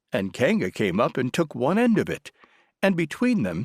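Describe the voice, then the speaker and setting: In a very clean recording with a silent background and a dry, close sound without echo, a man's vocal fry accompanies very wide pitch swings. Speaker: audiobook narrator. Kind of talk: audiobook narration.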